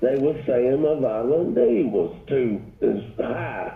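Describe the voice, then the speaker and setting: Speaking very slowly in a fairly high voice for a man, he is heard with audible room echo. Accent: Southern US. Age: 60s. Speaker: caller. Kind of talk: casual chat. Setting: phone call.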